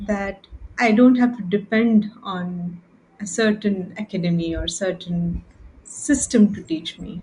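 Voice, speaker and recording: A woman with an Indian accent speaks at a fairly slow pace in a medium pitch, her loudness swinging widely while her pitch varies in an ordinary way. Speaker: podcast co-host. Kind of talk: casual chat.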